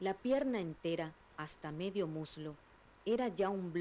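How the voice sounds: The clip has a natural reading voice. Its intonation is lively.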